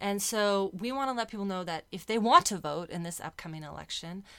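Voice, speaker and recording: Speaking at a fairly quick pace, a woman with a Californian accent shows ordinary pitch variation. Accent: Californian American English. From US West Coast, San Diego. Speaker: civil liberties advocate. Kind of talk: radio interview. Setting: studio.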